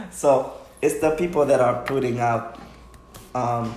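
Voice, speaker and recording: Speech at a very slow pace comes with audible room echo and noticeable background noise. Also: man. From Haiti, raised in Stamford, Connecticut. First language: Haitian Creole or French. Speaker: dancer. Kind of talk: casual interview.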